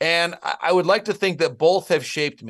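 In an American accent, a man with an unremarkable speaking voice and fairly high pitch talks at a moderate pace against a quiet background. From Michigan, US Midwest. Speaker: baseball broadcaster and insider. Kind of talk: interview.

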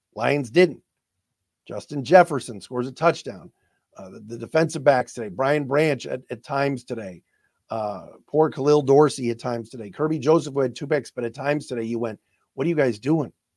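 At a fairly quick pace, a man with a medium pitch talks with ordinary pitch variation and big swings in loudness. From Cleveland, Ohio. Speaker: sports podcast host. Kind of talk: sports radio reaction, excited game recap with live-call play-by-play. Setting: studio podcast recording. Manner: animated, emotional, excitable; exasperated, laughing, rapid play-by-play.

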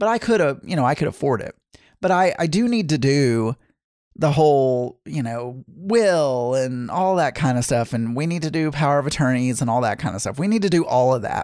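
Here is a man with an unremarkable speaking voice, fairly high in pitch, and lively intonation. He keeps a moderate pace against a quiet background. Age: 40s. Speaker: podcast host. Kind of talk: casual monologue.

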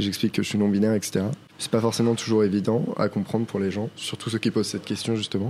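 At a very fast pace, a man speaks with fairly low pitch and monotone, flat intonation. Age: 20s. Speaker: non-binary theatre performer. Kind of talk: interview. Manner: hesitant, many fillers.

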